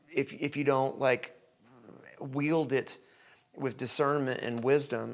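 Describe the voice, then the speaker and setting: A fairly high-pitched man's voice with a Southern US accent. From Tennessee, US. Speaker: podcast host. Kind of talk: casual interview chat. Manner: hesitant, many fillers.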